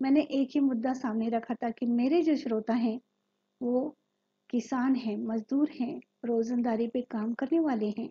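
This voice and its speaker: This woman has a high pitch and a dark, mellow tone. Her intonation stays fairly even. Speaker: former radio announcer and media trainer. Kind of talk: training lecture.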